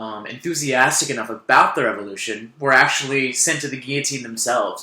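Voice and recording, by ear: The pitch moves up and down in an ordinary way. The text is read aloud in a natural voice.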